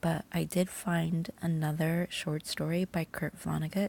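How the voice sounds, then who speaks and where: A soft-spoken, somewhat breathy woman at a very slow pace, with a fairly low pitch and a dark, mellow tone. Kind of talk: bedtime story reading.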